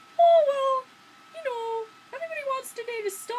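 This is a put-on character voice with an extremely high pitch. It sounds squeaky and moves at a moderate pace. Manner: girly.

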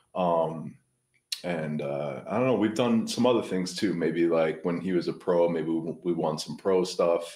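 Very deep and low-pitched, a man speaks in a dark, mellow tone at a moderate pace with ordinary pitch variation. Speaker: print shop owner and amateur foosball player. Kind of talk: interview. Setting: video call. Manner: halting.

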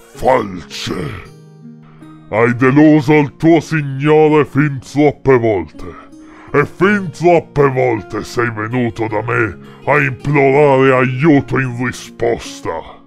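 Clear music plays in the background as someone does a put-on character voice at a very slow pace. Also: man, medium pitch for a man. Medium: read story. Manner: contemptuous, menacing.

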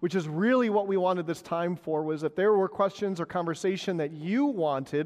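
A man's high-pitched voice at a moderate pace, with ordinary pitch variation against a quiet background. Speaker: pastor. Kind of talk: congregation meeting address. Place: church.

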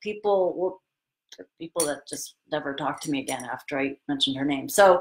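Against a quiet background, a woman is speaking. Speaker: yoga teacher. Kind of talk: live stream talk to viewers. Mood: open, slightly vulnerable. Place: home room. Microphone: webcam.

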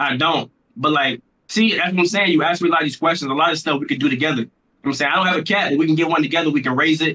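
Keeping very even loudness, a man with a fairly high pitch speaks at a very fast pace with ordinary pitch variation. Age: 20s. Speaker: streamer. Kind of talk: casual chat. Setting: video call. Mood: playful, smooth. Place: home room. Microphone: video call.

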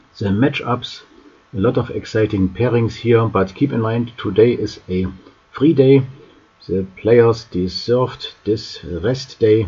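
At a fairly slow pace, a man speaks at medium pitch with ordinary pitch variation against noticeable background noise. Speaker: chess news youtuber. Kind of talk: news roundup.

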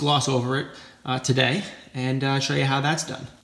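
A man talking at a fairly quick pace in a flat monotone, with audible room echo. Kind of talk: casual vlog chat. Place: garage. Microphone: phone near.

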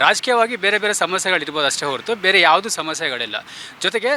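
A man speaks in a raised, projected voice with a high pitch and lively intonation. The sound is dry and close with no echo, though there is noticeable background noise. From Bengaluru, India. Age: 30s. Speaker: community activist. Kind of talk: street interview.

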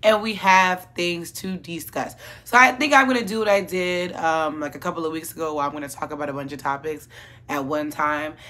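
A woman with fairly low pitch, a bright, sharp tone and lively intonation, at a fairly quick pace, with big swings in loudness. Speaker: commentary vlogger. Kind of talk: casual commentary vlog. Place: home room.

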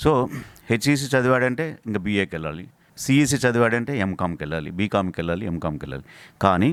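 A man's fairly low-pitched voice, a normal speaking voice with lively intonation. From Rayalaseema, Andhra Pradesh (Kurnool district). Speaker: university vice chancellor and physics professor. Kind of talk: interview. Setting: on location at university.

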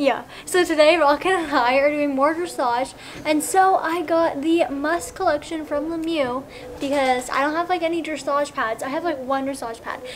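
A woman speaks in a high pitch at a moderate pace, with ordinary pitch variation. Light background noise can be heard. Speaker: equestrian vlogger. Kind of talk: casual vlog chat. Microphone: camera far.

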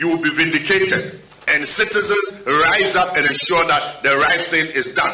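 At a fairly slow pace, a man with a high pitch and ordinary pitch variation talks in a space with audible room echo. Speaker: party spokesperson. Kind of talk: press conference statement. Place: hall. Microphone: podium.

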